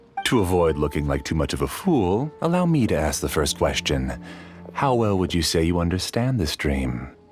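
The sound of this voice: A man puts on a character voice, low-pitched with big pitch swings, a slightly husky edge and a slightly mellow tone. He talks at a moderate pace over faint music in the background.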